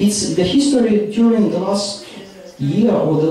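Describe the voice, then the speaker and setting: The speech moves at a fairly slow pace amid strong room echo and light background noise. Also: man. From Ukraine. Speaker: policy analyst. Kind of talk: panel discussion. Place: hall.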